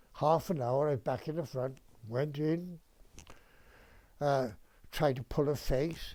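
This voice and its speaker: A man with a fairly high pitch and a dark, mellow tone speaks very slowly, with fairly even intonation and long, frequent pauses. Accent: Welsh. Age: 80s+. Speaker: retired dentist. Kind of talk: interview answer, reminiscence.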